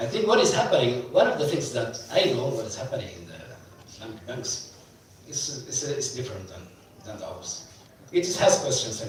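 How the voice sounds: A man's medium-pitched voice at a moderate pace, with big pitch swings and strong room echo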